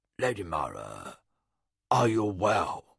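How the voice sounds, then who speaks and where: A man's put-on character voice, fairly low in pitch, gravelly, gruff and raspy. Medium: read story. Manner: ironic, well modulated.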